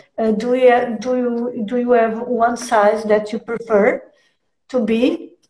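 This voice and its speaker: In a Portuguese accent, a woman speaks very slowly with a monotone, flat intonation. Her pitch is fairly high and her tone dark and mellow. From Portugal. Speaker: stream host. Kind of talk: live stream interview. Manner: halting.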